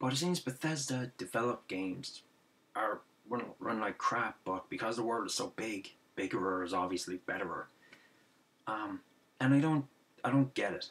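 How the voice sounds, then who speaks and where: Speaking at a moderate pace in an Irish accent, a man uses lively intonation broken by long, frequent pauses. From Ireland. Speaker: gaming video commentator. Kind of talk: angry rant about games media coverage. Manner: exasperated, repetitive ranting with sarcastic asides; halting, filler-heavy, restarts sentences. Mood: frustrated, ranting. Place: home room. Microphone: webcam.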